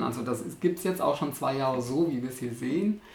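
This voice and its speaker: A man talks very fast, and noticeable background noise runs beneath him. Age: 50s. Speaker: artist. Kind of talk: casual interview. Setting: artist's studio.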